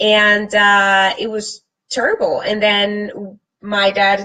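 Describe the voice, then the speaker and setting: A woman with a Spanish accent speaks at a medium pitch in a bright, sharp tone. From Colombia. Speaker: fitness and lifestyle vlogger. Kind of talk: live stream talk to viewers. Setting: live from computer.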